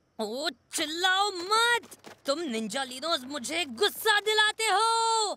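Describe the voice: This cartoonish character voice has a bright, sharp tone, a slow pace and big pitch swings.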